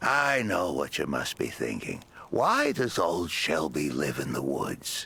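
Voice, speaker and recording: A man uses a put-on character voice that is very deep and low, speaking at a fairly slow pace. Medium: video game. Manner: gruff, cranky.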